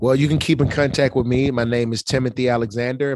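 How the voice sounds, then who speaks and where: A man with an Alabama accent in a monotone, flat intonation, dry and close with no echo, over a quiet background. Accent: Southern US (Alabama). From Alabama, US South. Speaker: motivational speaker. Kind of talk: interview. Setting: studio, in person.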